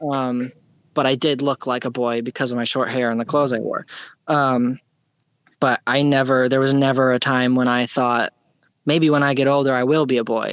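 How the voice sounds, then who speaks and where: Over a quiet background, a woman talks at a moderate pace with a very deep, low pitch and monotone, flat intonation. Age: 20s. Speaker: guest sharing detransition story. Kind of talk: interview testimony. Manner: halting, many fillers.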